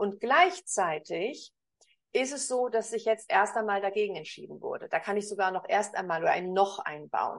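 A woman with an unremarkable speaking voice talks at a moderate pace in a fairly high pitch against a quiet background. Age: 50s. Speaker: communication coach. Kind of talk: interview.

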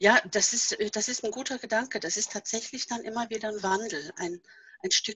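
A woman's fairly high voice with lively intonation. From Norway. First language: Norwegian (speaking German). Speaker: author and seminar leader. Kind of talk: casual interview.

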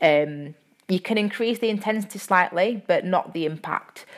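Speaking with a Yorkshire accent, a woman keeps a fairly slow pace and fairly even intonation. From Yorkshire, England. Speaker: personal trainer and podcast host. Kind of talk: casual solo podcast talk. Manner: uses filler words, friendly and chatty.

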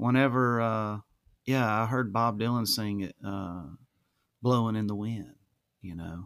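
A man with an Alabama accent talks at a fairly slow pace and a fairly low pitch. His intonation is fairly even, broken by long, frequent pauses. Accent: Southern US (Alabama). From US South, Alabama (Mobile County). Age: 40s. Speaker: musician and painter. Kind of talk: casual interview conversation.

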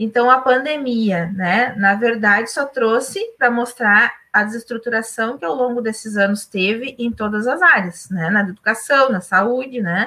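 A woman speaks fairly slowly with hardly any pauses, her fairly high voice bright and sharp in tone, with ordinary pitch variation. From Ijuí region, Rio Grande do Sul. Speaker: physician, mayoral candidate. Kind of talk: political livestream chat. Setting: online livestream.

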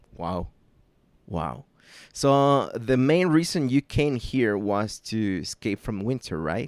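Over a very clean recording with a silent background and a dry, close sound with no echo, a man with a Mexican accent speaks at a medium pitch and a very slow pace, with very wide pitch swings. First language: Spanish. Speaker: podcast host. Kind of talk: casual chat. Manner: halting.

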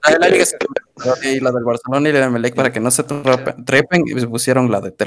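A man with an unremarkable speaking voice talks at a fairly quick pace, medium in pitch, with fairly even intonation. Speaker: podcast co-host. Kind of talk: casual chat.

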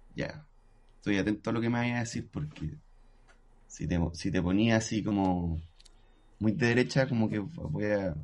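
Speaking in a Chilean accent, a man uses a fairly low pitch and lively intonation. He keeps a moderate pace, with long, frequent pauses. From Chile, Antofagasta. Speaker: musician and music producer. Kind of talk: casual chat.

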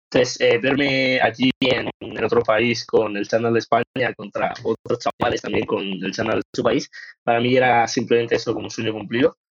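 Hardly pausing, a man speaks at a moderate pace in a medium pitch with fairly even intonation. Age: 20s. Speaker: powerlifting athlete. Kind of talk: casual interview. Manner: hesitant with fillers.

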